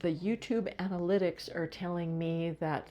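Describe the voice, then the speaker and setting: A woman talks in a fairly low pitch, keeping a moderate pace. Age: 60s. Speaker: health educator and channel founder. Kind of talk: impromptu monologue to camera. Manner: halting.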